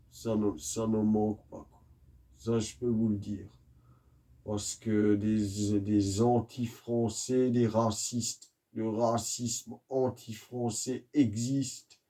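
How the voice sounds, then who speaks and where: A soft-spoken man at a very slow pace, medium in pitch, dark and mellow in tone, with monotone, flat intonation and big swings in loudness. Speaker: YouTuber, religious commentator. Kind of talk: monologue rant. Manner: slow, soft-spoken.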